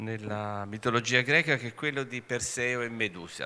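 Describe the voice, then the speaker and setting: Speaking at a fairly slow pace, a man has a bright, sharp tone. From Italy. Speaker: conference moderator. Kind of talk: panel moderation. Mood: warm, animated. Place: hall. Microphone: podium.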